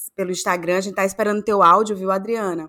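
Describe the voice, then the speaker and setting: A woman speaks in a Cearense accent with a medium pitch and fairly even intonation. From Ceará, Brazil. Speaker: podcast co-host. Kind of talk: casual chat.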